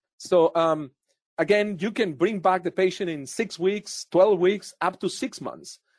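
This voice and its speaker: A man speaks at a fairly slow pace in a high voice with ordinary pitch variation. The sound is dry and close with no echo, over a quiet background. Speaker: dentist and professor. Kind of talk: professional interview.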